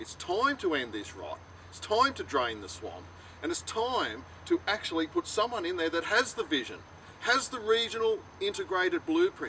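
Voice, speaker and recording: Someone with an Australian accent talks at a moderate pace. Noticeable background noise sits behind the voice. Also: man. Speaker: political candidate. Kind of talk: campaign speech to camera. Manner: impassioned.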